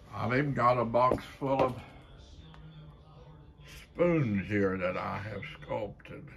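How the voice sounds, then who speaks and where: Faint music plays in the background. A man with an Appalachian accent speaks at a very slow pace with lively intonation. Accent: Appalachian Kentucky. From Kentucky. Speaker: folk artist, painter and sculptor. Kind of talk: casual talk to camera, gallery tour. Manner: slow, hesitant. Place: home room. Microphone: phone near.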